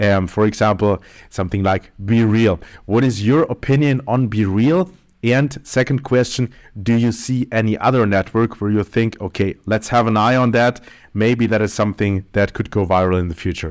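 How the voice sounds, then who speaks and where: A man with a plain, everyday voice speaks at a moderate pace and fairly low pitch with ordinary pitch variation on a very clean recording with a silent background. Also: very even loudness. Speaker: podcast host. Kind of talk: interview.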